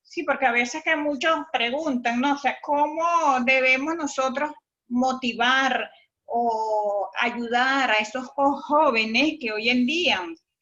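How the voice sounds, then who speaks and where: A woman with a high pitch speaks in a raised, projected voice. Her pace is very slow. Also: ordinary pitch variation. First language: Warao (speaking Spanish). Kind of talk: workshop discussion. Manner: halting, frequent repetitions.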